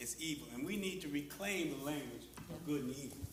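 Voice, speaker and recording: Audible room echo and noticeable background noise surround the speaker. He is a man with a fairly high pitch and ordinary pitch variation. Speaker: panelist. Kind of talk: panel discussion.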